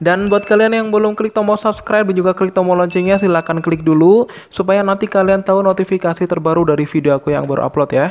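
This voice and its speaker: Talking very fast with hardly any pauses, a man with a high-pitched voice keeps his loudness very even and his intonation fairly even. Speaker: exam prep tutor. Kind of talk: tutorial.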